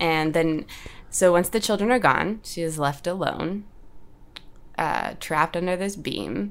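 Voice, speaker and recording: A woman in an American accent, an ordinary speaking voice, fairly low in pitch, at a fairly slow pace. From Oklahoma. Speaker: podcast host. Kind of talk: casual chat, storytelling.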